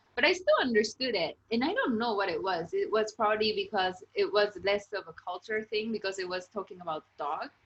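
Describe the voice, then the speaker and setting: In a Japanese accent, the speaker moves at a fairly quick pace with hardly any pauses. The intonation is lively. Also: woman, fairly high pitch for a woman. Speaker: interviewer, channel host. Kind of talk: casual interview chat.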